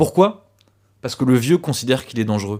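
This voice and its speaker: In a very clean recording with a silent background, a man speaks in an animated tone at a medium pitch and a moderate pace. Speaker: film critic. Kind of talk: comedic podcast panel discussion.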